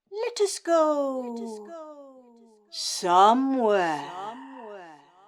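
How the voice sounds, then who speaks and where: A woman's high-pitched put-on character voice, with very wide pitch swings and a very slow pace. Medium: stage play.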